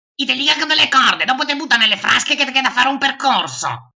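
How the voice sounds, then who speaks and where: A high-pitched, put-on character voice. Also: very fast pace. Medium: dub.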